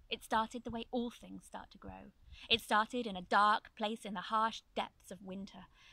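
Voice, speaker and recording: A bright, sharp tone at a moderate pace, with fairly even intonation and a dry sound with no echo. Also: woman. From Ireland. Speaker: spoken word poet. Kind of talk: spoken word poetry performance. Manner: rhythmic. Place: open country.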